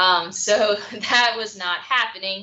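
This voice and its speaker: A woman speaks with ordinary pitch variation. Audible room echo is present. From rural Louisiana. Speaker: biology professor. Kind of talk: panel Q&A self-introduction. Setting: video call.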